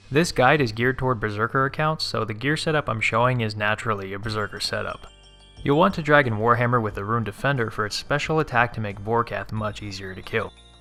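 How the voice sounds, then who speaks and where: Over music in the background, a man speaks very fast at a medium pitch with ordinary pitch variation. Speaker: game guide narrator. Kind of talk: game tutorial narration. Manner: casual.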